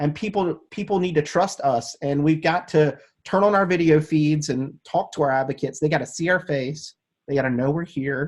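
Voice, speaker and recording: Somewhat breathy and animated, a man talks at a moderate pace. His fairly high voice shows ordinary pitch variation. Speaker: advocacy show host. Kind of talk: casual interview chat. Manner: stutters, trips over words.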